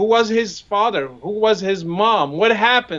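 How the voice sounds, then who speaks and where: Moderate pace with an Arabic accent. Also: man. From Morocco. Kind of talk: conversational discussion.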